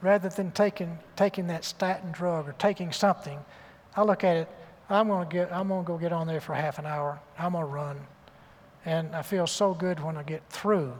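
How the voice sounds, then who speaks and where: With a Southern US accent, the speaker keeps a moderate pace and fairly even intonation. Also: man, high pitch for a man. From US South. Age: 70s. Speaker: surgeon and author. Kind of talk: interview on stage.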